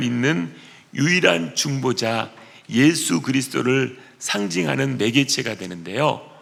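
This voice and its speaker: A man with a medium-pitched voice speaks fairly slowly, his pitch swinging very widely. Room echo is audible. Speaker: pastor. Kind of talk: sermon.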